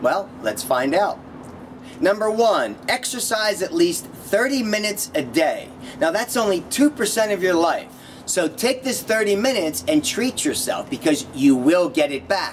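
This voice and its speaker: A man speaks in an energetic tone at a moderate pace, his high pitch swinging very widely, with noticeable background noise. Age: 50s. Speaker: yoga and fitness instructor. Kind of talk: video tips talk.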